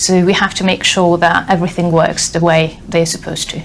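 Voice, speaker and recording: A woman's medium-pitched voice with a Hungarian accent, over noticeable background noise. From Hungary. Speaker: software tester, former teacher. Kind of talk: interview.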